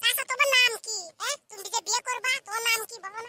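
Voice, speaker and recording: A squeaky, cartoonish character voice at an extremely high pitch rattles along at a fairly quick pace. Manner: cheeky, rustic.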